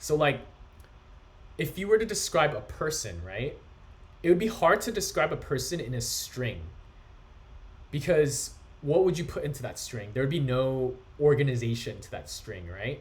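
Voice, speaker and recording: A man with a fairly high pitch and vocal fry talks at a moderate pace, with long, frequent pauses, very wide pitch swings, and big swings in loudness. Audible room echo surrounds his voice. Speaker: coding instructor. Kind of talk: lecture.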